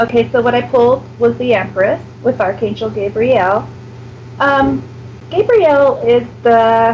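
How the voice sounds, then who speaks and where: Over noticeable background noise, a woman with an American accent talks at a fairly slow pace and keeps her loudness very even. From United States. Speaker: psychic reader. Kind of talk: psychic reading on radio. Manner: hesitant, many fillers.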